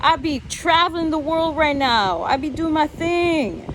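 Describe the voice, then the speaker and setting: A loud, animated woman speaks in a high voice over noticeable background noise. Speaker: vlogger. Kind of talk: casual vlog rant.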